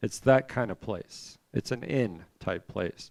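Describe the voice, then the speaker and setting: A man's medium-pitched voice, an unremarkable speaking voice, with lively intonation. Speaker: Bible class teacher. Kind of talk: Bible class lecture.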